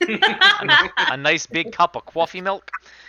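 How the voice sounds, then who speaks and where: The speech comes at a very slow pace, with very wide swings in pitch. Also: man. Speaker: game master. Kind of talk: tabletop role-play narration; reading aloud. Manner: hesitant, many fillers.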